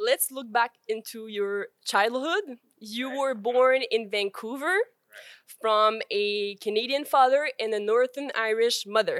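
Recorded with a dry, close sound and no echo, a woman speaks fairly slowly in a high pitch with ordinary pitch variation. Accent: Quebec. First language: French. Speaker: podcast host. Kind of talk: interview.

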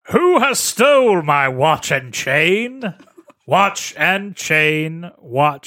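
A man does a put-on character voice at a high pitch, very slow in pace with very wide pitch swings.

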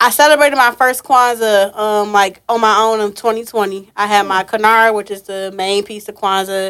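In a very clean recording with a silent background, a woman with an ordinary speaking voice talks at a moderate pace, her pitch fairly high and her intonation fairly even, with hardly any pauses. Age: 20s. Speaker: event curator and business owner. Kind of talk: casual interview.

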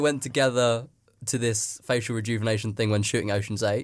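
In a very clean recording with a silent background, a man speaks at a fairly quick pace. He has an ordinary speaking voice at medium pitch. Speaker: radio host. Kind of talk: casual comedy radio show chat. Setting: studio.

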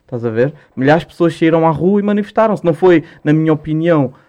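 A man's fairly high, dark and mellow voice at a fairly quick pace. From Portugal, Lisbon (Lumiar, Alta de Lisboa). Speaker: rapper. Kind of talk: casual chat.

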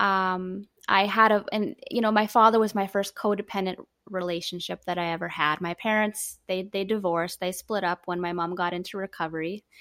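A woman with a Canadian accent talks in a bright, sharp, monotone voice with flat intonation and hardly any pauses, on a very clean recording with a silent background. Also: medium pitch for a woman, moderate pace, dry, close sound with no echo. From Canada. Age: 30s. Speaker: recovery organization co-founder. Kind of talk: interview.

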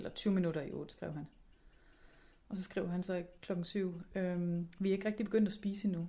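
A woman speaks at a moderate pace in a dark, mellow tone, somewhat breathy and medium in pitch, with fairly even intonation. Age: 30s. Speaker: podcast host. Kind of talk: personal diary podcast. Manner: hesitant, many fillers.

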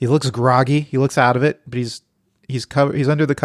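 This is a natural reading voice with fairly even intonation. The background is quiet.

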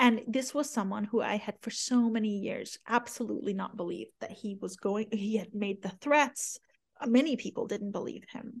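Vocal fry runs through a woman's fairly high voice, which shows ordinary pitch variation. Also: moderate pace. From Iran. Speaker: author. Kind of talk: radio interview.

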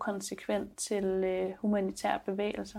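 A woman talks at a very slow pace. Her medium-pitched voice has a dark, mellow tone. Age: 30s. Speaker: filmmaker. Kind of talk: interview and advice column.

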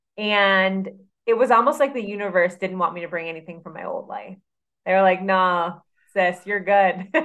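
This woman has an unremarkable speaking voice at a medium pitch, with ordinary pitch variation. She talks at a moderate pace, and her loudness swings widely. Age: 30s. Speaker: personal trainer and nutrition coach. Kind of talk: casual interview chat.

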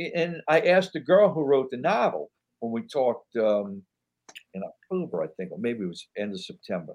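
Delivered at a moderate pace in a New York accent, this voice has very wide pitch swings and big swings in loudness. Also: man, fairly high pitch for a man. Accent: New York-sounding. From New Orleans, Louisiana. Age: old. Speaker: actor. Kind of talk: casual chat.

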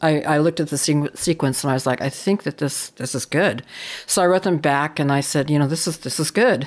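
A woman with a Californian accent, a very deep, low pitch and a fairly quick pace. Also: ordinary pitch variation. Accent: Californian American. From US West Coast, San Francisco Bay Area. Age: 60s. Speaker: photographer. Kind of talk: interview. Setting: remote recording.

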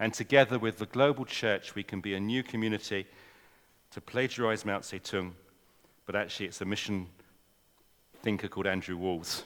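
Talking at a fairly quick pace with long, frequent pauses, a man with an English accent uses a fairly low pitch and fairly even intonation. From England. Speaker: mission leader speaking at a church. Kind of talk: talk to a church audience. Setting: church with audience. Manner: informal, chatty.

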